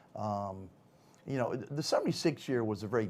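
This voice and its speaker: The recording is very clean and the background silent. Words come at a fairly quick pace. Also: man. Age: 50s. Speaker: retired football player. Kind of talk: interview. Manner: hesitant, many fillers.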